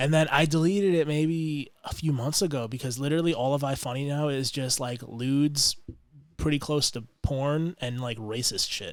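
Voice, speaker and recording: The man talks at a moderate pace with a fairly high pitch and ordinary pitch variation, on a very clean recording against a silent background. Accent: American. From US, Long Island, New York. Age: 20s. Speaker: firefighter. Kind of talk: casual chat. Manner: casual, filler-heavy.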